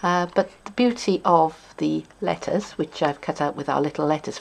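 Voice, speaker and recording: A woman speaks with a South Welsh accent. Her pace is moderate. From South Wales. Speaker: papercrafting demonstrator. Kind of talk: tutorial.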